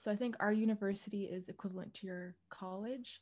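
The pace is moderate as this woman talks. She keeps a monotone, flat intonation. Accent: Canadian. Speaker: podcast host. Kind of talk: casual chat.

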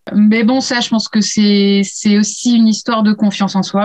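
Somewhat breathy, a woman talks in a fairly high pitch. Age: 30s. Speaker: illustrator. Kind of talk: casual interview. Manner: hesitant, many fillers.

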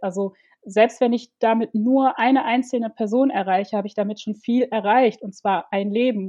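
With an ordinary speaking voice, a woman talks at a moderate pace and a fairly high pitch, her intonation fairly even. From Ivory Coast, Germany from age six. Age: 30s. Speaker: domestic violence survivor and activist. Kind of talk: personal testimony in interview.

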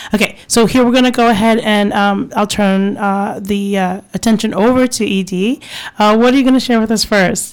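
This woman has a normal speaking voice, fairly high in pitch, with fairly even intonation. She keeps a moderate pace and very even loudness. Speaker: radio host. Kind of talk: casual radio interview chat. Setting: radio studio. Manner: warm, chatty, laughs often.

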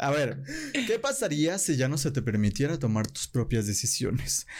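A man speaks with a Mexican accent on a very clean recording with a silent background. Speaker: podcast host. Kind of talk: casual chat. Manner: animated.

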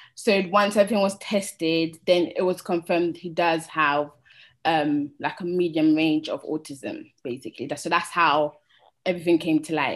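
A woman speaks with a London accent. Her pitch is fairly low and her pace moderate. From London, raised there from age 8-9; born in Sierra Leone. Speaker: cleaner and single parent. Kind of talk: personal testimony.

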